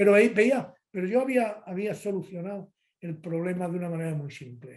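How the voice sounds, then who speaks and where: The speaker is a man with a high pitch and ordinary pitch variation. He keeps a moderate pace. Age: 70s. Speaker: physician, liver specialist. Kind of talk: interview.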